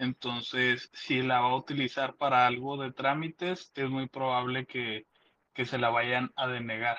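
Speaking in a Mexican accent, a man uses a medium pitch and monotone, flat intonation at a fairly slow pace. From Mexico. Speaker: caller. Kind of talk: casual chat.

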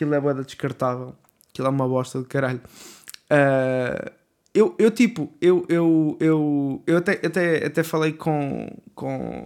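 At a fairly slow pace, a man with fairly high pitch talks with ordinary variation in pitch. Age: 20s. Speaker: podcaster. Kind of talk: casual monologue. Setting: home bedroom. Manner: hesitant, many fillers.

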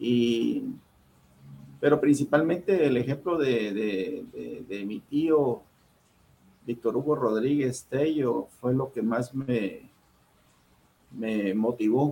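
A man at medium pitch with ordinary pitch variation, speaking at a very slow pace with long, frequent pauses. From Guatemala City, Guatemala. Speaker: diplomat. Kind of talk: interview. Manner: halting.

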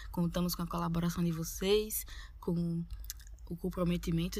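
A woman speaks at a moderate pace. She has a strong Northeastern Brazilian accent. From Northeast Brazil. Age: 20s. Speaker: podcast co-host, university student. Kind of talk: casual podcast intro.

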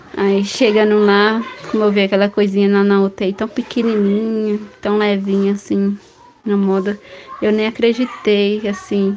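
A woman speaks in a monotone, flat way at a medium pitch and fairly slow pace, with very even loudness. Noticeable background noise is present. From Bahia, Brazil. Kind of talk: testimony. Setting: voice message.

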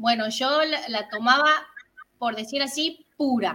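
Very slowly, a woman speaks in a high pitch with a bright, sharp tone. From Tucumán, northern Argentina. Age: 30s. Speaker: health testimony guest. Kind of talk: testimony. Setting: video call.

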